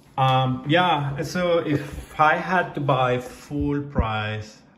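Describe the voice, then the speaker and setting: A man's voice, with ordinary pitch variation, carries audible room echo. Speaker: product reviewer. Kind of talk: casual product review. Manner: hesitant, many fillers.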